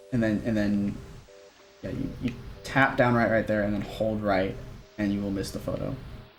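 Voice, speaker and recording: A man's fairly low voice at a moderate pace, fairly even in intonation, with long, frequent pauses, audible room echo and music in the background. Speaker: speedrunner. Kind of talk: tutorial. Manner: halting, repetitive fillers.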